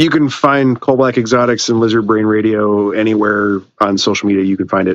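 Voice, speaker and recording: This man speaks at a fairly quick pace with a fairly low pitch, fairly even intonation, very even loudness and hardly any pauses, in an ordinary speaking voice. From Illinois, US Midwest. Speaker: reptile keeper and podcast host. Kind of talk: casual chat.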